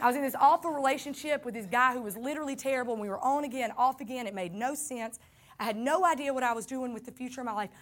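Very fast, animated speech with a Southern US accent. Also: woman, high pitch for a woman, ordinary pitch variation. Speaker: pastor. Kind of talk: sermon.

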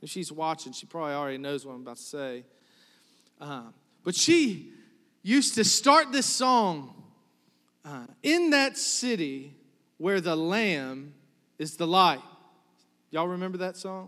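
Speaking at a fairly slow pace with long, frequent pauses, a man uses a high pitch, a bright, sharp and animated tone, very wide pitch swings and big swings in loudness. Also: very clean recording, silent background. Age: 30s. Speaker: pastor. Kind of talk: sermon. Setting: church with congregation.

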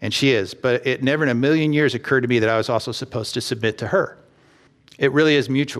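This man has an American accent and a medium pitch. His pitch varies in an ordinary way. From Texas. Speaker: pastor. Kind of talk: sermon.

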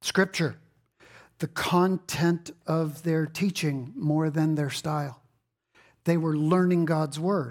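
Very clean and recorded against a silent background, a man with a high pitch speaks at a fairly slow pace with fairly even intonation. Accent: American. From Texas. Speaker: pastor. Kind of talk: sermon. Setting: church.

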